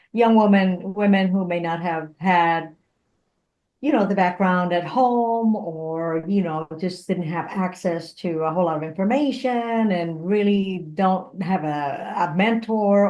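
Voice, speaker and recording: A woman speaks at a fairly slow pace with a dark, mellow tone. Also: medium pitch for a woman, ordinary pitch variation. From Puerto Rico. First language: Spanish. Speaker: engineer, motivational speaker and comedian. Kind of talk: interview conversation. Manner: animated.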